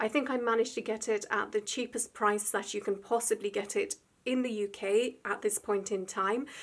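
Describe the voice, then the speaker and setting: On a very clean recording with a silent background, a woman with a British accent speaks at a moderate pace and fairly high pitch. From UK. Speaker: artist YouTuber. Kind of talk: unboxing video.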